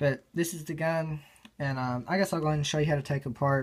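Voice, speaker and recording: The speech moves at a very fast pace in a very clean recording with a silent background. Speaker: gun gear reviewer. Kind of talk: tutorial. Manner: casual with many fillers.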